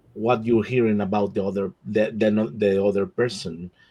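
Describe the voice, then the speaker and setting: This man speaks with a Spanish accent. His pitch sits fairly low. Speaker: nonprofit board member. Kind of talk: panel discussion. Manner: halting, many repetitions.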